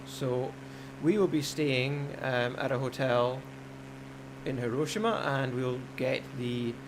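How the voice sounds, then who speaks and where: A man's fairly even intonation with audible room echo. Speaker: gaming live streamer. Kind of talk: live stream commentary.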